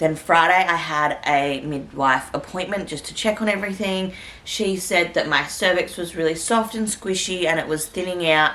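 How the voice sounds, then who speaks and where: A woman with an Australian accent speaks at a moderate pace in a fairly low voice, her pitch varying in an ordinary way, with hardly any pauses and noticeable background noise. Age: 20s. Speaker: vlogger. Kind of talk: casual vlog talk to camera.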